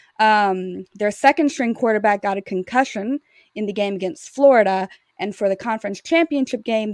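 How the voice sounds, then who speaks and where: In an American accent, a woman with a normal speaking voice talks at a medium pitch with ordinary pitch variation, recorded very clean with a silent background and a dry, close sound with no echo. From Louisiana, US South. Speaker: sports editor and former attorney. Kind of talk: casual chat.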